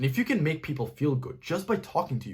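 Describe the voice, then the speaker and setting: The speaker races along at a very fast pace with vocal fry, lively intonation and a slight non-native accent. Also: man. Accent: slight non-native pronunciation. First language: not English. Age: 20s. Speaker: self-improvement YouTuber. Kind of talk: direct-to-camera advice talk.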